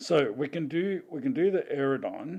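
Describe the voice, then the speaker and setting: Dark, mellow tone with an Australian accent. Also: man. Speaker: gaming streamer. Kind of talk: live stream commentary. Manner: casual, halting with restarts.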